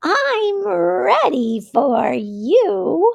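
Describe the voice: A woman's gravelly, put-on character voice.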